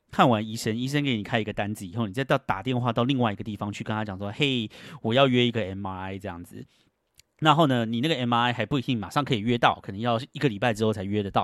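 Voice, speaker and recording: A man talks at a very fast pace in a medium pitch, with ordinary pitch variation and big swings in loudness. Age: 40s. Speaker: podcast host. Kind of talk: casual solo monologue. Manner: animated.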